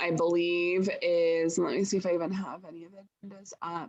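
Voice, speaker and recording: A woman with an American accent speaks at a moderate pace in a medium pitch, in an ordinary speaking voice. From southern Oregon, Jackson County. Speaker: farm policy lobbyist. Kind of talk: webinar tutorial. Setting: video call.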